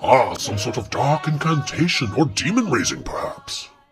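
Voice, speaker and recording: At a moderate pace, a man adopts a put-on character voice pitched fairly high. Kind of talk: comic genteel old-fashioned speech. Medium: comedy sketch. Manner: formal, archaic, prim.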